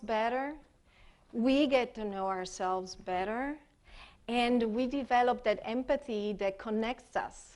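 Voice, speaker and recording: Her voice fairly high and her pace fairly slow, a woman speaks with an Italian accent and ordinary pitch variation. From Italy. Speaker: expressive arts therapist. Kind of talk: conference workshop presentation. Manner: hesitant, many fillers.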